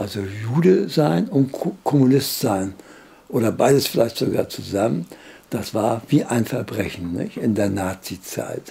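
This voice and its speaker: The speech comes at a very slow pace. Pitch variation is ordinary. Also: man. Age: 80s+. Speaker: World War II veteran, former fighter pilot. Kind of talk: interview answer.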